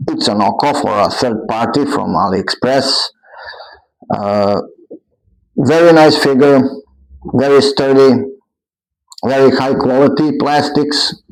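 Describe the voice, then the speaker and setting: Pausing long and often, a man with a non-native accent speaks at a fairly slow pace, his fairly high pitch showing ordinary variation. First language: not English. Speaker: toy reviewer. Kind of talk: product review. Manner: halting.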